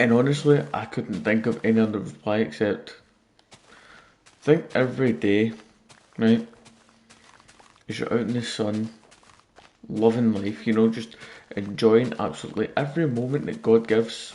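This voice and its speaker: A man with a Scottish accent at a moderate pace, with long, frequent pauses. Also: medium pitch for a man, ordinary pitch variation. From Scotland. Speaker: gaming streamer. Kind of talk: live stream gameplay chat. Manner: quieter than usual.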